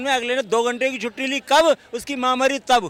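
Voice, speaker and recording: A man's raised, projected voice. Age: 60s. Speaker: lawyer, interviewee in street poll. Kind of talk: street interview.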